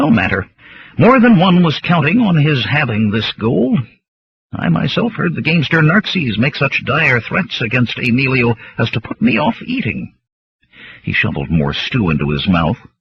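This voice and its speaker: A man cackles in a put-on character voice at a medium pitch. His pitch swings very widely as he goes at a moderate pace. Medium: read story. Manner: cackling, gleeful.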